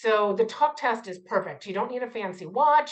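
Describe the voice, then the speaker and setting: A woman talks with a fairly high pitch and an animated tone. Her intonation is lively. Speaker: community health board president and PhD student. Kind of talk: interactive lecture. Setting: video call.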